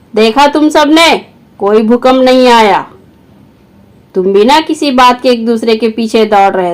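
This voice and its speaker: A woman performs a cartoonish character voice at a high pitch. She keeps a moderate pace. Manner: calm, reasonable.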